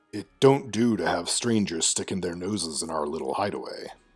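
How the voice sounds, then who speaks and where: Over background music, a man speaks fairly quickly in a raspy, fairly low put-on character voice with lively intonation. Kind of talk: rough dialect with 'It don't do'. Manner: gruff, angry.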